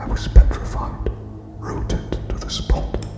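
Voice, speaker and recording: A man whispers with music in the background. He is soft-spoken. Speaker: ASMR narrator. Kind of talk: whispered ASMR story reading. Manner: whispered, soft, slow.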